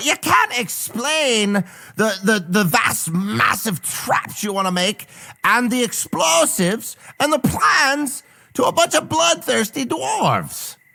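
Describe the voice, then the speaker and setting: A fairly high-pitched, put-on character voice. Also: fairly slow pace. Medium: audio drama. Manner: brash, profane, folksy.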